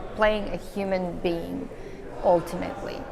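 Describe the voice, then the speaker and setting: Over noticeable background noise and audible room echo, a woman with an American accent speaks with fairly even intonation. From Serbia. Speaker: actress and filmmaker. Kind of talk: interview.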